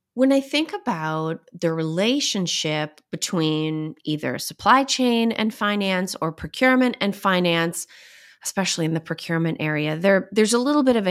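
At a moderate pace, a woman talks at medium pitch in a plain, everyday voice. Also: lively intonation. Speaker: podcast host. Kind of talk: interview.

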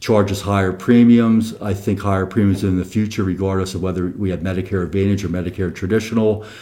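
The man's voice has a dark, mellow tone and a fairly low pitch. His intonation is fairly even. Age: 60s. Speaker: financial planner and CPA. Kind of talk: casual chat. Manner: halting.

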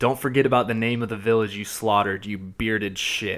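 In a very clean recording with a silent background, a man with a slight Southern US accent speaks at medium pitch. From US South, Georgia. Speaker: podcast host. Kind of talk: casual chat. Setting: studio.

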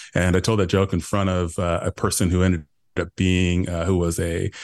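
Over a quiet background, a man with a very deep, low pitch talks at a very fast pace in a monotone, flat intonation. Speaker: retired FBI agent and cyber evangelist. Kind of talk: casual interview. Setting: remote recording with microphone.

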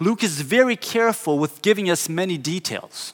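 A man in a Portuguese accent speaks at a high pitch and a moderate pace. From southern Brazil. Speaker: pastor. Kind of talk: sermon.

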